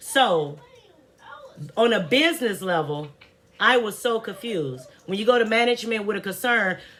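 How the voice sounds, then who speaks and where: A woman talks in an animated tone at a fairly high pitch and a fairly slow pace. Noticeable background noise runs beneath her. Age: 40s. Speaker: vlogger. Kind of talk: casual rant to camera.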